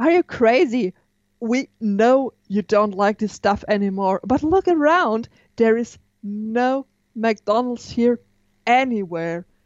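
Her pace is very slow and her intonation lively. The woman's pitch is fairly high. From southern Germany, near Stuttgart. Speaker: history podcast co-host. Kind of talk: casual chat. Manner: halting.

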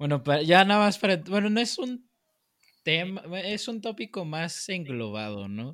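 This man speaks fairly slowly. His pitch swings very widely. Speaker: podcast co-host. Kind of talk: casual chat.

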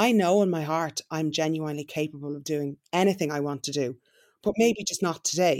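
A woman with an Irish accent speaks at a fairly quick pace, her pitch very deep and low, with ordinary variation in it. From Ireland. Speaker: entrepreneur and influencer. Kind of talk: interview.

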